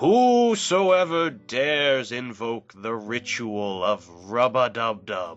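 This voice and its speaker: A man uses a booming, put-on character voice at a very slow pace. Faint music plays in the background. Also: medium pitch for a man, lively intonation. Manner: grand, ritualistic.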